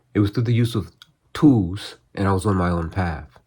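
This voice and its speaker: Speaking at a moderate pace, a man with a somewhat breathy voice uses ordinary pitch variation. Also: very clean recording, silent background. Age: 60s. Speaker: martial arts practitioner and channel host. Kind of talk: scripted narration; casual talk to camera. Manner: hesitant with fillers.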